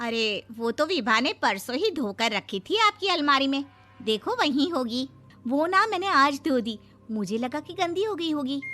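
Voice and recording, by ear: Using a put-on character voice, a woman speaks at a high pitch with a bright, sharp tone. She leaves few pauses. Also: lively intonation, fairly slow pace.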